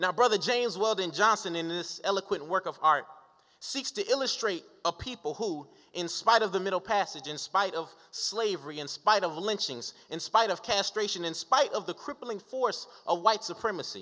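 A man's raised, projected voice, bright and sharp in tone, at a moderate pace with ordinary pitch variation over a quiet background. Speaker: speaker. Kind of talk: oratory speech. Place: hall. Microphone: podium.

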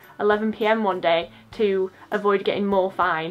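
Faint music plays in the background while a woman with an English accent speaks at a fairly high pitch. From England. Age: 20s. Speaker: YouTuber, university student; YouTuber. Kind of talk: casual vlog chat. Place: home room. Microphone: phone near.

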